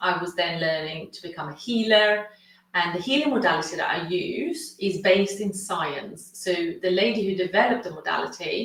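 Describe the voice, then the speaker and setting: The speaker has a Swedish accent and ordinary pitch variation, moving at a moderate pace. Audible room echo is present. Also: woman. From Sweden. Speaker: consciousness coach and healer. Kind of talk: webinar masterclass presentation.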